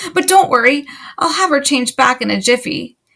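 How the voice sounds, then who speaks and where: A woman uses a put-on character voice pitched high. She talks at a fairly quick pace. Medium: read story. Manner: flustered, rambling.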